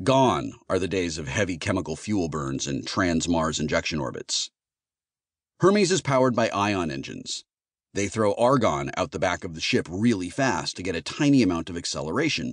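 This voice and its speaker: With vocal fry and very wide pitch swings, a man speaks at a moderate pace in a very deep, low voice. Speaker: audiobook narrator. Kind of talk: audiobook narration, first-person sci-fi. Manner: sarcastic, wry, conversational.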